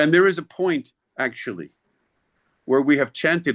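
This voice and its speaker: Recorded dry and close with no echo over a quiet background, a man speaks at a moderate pace with vocal fry and lively intonation. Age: 70s. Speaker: spiritual teacher. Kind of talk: sermon.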